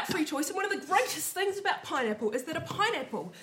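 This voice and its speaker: At a fairly quick pace, a woman's pitch swings very widely against noticeable background noise. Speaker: university lecturer and writer. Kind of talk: comedy quiz show, casual banter.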